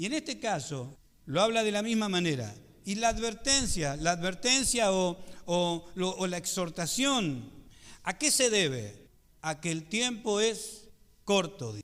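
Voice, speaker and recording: A man's high-pitched voice with lively intonation, at a fairly slow pace, with audible room echo. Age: 50s. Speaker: pastor. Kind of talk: sermon.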